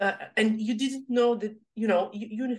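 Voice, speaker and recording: A woman with a Serbian accent speaks at a fairly slow pace. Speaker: podcast host. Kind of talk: interview, podcast conversation. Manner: halting, non-fluent.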